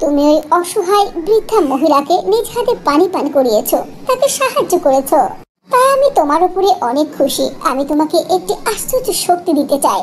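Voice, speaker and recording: An extremely high, female-sounding cartoonish character voice over clear background noise. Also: moderate pace. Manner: warm, gracious.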